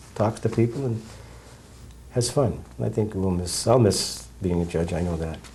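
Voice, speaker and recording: A man speaks at a moderate pace with ordinary pitch variation. His tone is dark, mellow, and somewhat breathy. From New Hampshire. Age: 60s. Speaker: judge. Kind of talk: interview.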